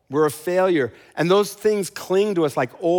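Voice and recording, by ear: This is reading aloud in a natural voice with ordinary pitch variation.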